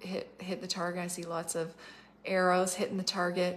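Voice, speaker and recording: The woman's pitch is fairly low. She talks at a moderate pace. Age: 40s. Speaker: prophetic minister. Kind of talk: livestream prophetic talk. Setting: Facebook Live video. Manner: casual, filler-heavy. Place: home room. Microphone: phone near.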